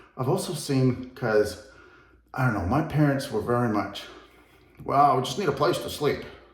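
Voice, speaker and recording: A man's medium-pitched voice with lively intonation, a moderate pace, long and frequent pauses, audible room echo and noticeable background noise. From England, moved to US at twelve. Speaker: real estate agent. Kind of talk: house tour video. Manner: casual, conversational.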